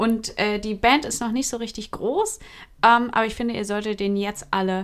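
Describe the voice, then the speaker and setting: In a very clean recording with a silent background, a woman with a plain, everyday voice, fairly high in pitch, speaks at a moderate pace with fairly even intonation. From Hesse, Germany. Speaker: podcast co-host. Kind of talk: casual chat.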